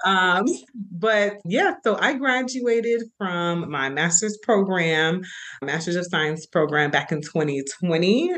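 With an American accent, a woman speaks at a very slow pace using lively intonation. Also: medium pitch for a woman. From Florida, US. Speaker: marriage and family therapist. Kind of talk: casual interview.

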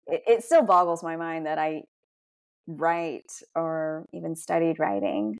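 Very clean and recorded against a silent background, a plain, everyday voice moves at a fairly slow pace with lively intonation. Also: woman, fairly low pitch for a woman. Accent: American. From US South, Georgia. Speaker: restaurateur. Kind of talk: interview.

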